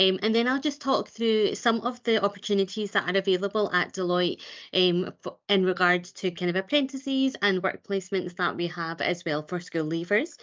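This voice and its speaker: This woman speaks at a medium pitch with a Glasgow accent. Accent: Scottish (Glasgow). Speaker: recruitment advisor. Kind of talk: webinar presentation. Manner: fast.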